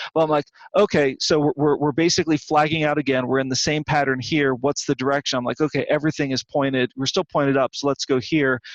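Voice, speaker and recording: Talking at a very fast pace with hardly any pauses, a man uses a fairly high pitch and fairly even intonation. His loudness stays very even, and the sound is dry and close with no echo. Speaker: trading and poker coach. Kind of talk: screen-share trading review. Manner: halting, many repetitions.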